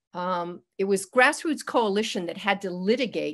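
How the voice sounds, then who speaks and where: A woman speaks at a moderate pace with ordinary pitch variation over a quiet background. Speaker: public commenter. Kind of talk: public comment. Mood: critical, advocacy. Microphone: video call.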